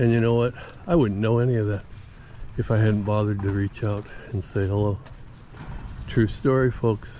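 Dry with no echo and light background noise, a man's fairly low voice shows ordinary pitch variation. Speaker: older man vlogger travelling and greeting strangers. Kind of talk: casual talk to camera. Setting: outdoors, recorded on the road. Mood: upbeat, positive. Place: street. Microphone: phone near.

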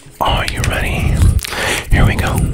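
Speech comes at a very slow pace over loud background noise. The sound is dry, with no echo. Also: man. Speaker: ASMR creator. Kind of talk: ASMR trigger word whispers. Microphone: studio mic.

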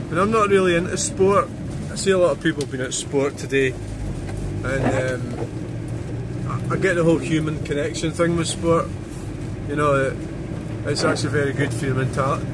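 Through loud background noise, a man speaks at a moderate pace with ordinary pitch variation and long, frequent pauses. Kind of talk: casual vlog chat. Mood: reflective, calm. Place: car. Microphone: phone near.

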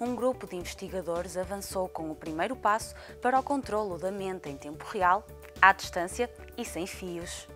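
Music plays in the background as a woman talks at a moderate pace. Her loudness swings widely while her pitch variation stays ordinary. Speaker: news narrator. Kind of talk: news report voiceover. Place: studio. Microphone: lapel.

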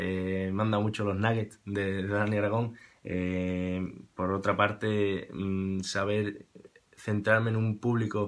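Against a quiet background, a man speaks very slowly in a fairly low voice. His intonation stays flat and monotone. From Andalusia, Spain (Seville). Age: 20s. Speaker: musician. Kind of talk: testimonial. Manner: halting, repeats words. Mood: warm, grateful. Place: home room. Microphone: webcam.

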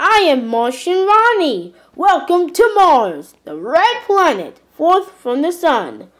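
In a cartoonish character voice at an extremely high pitch, the speaker goes at a fairly slow pace with hardly any pauses. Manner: friendly, cheerful.

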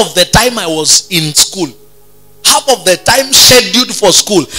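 A man speaks over faint music in the background. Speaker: pastor. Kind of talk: sermon. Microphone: handheld.

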